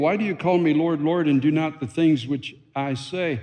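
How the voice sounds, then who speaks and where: At a moderate pace, a man with a dark, mellow tone speaks at a fairly high pitch with ordinary pitch variation. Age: 60s. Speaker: pastor. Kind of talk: sermon. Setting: church.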